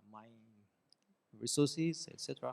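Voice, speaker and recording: A man with a Japanese accent speaks at a moderate pace in a medium pitch. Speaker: professor. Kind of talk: lecture. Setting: classroom.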